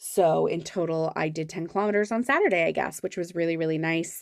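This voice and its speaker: A plain, everyday voice in a Canadian accent, with ordinary pitch variation. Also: woman. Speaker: planner vlogger. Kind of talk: casual chat.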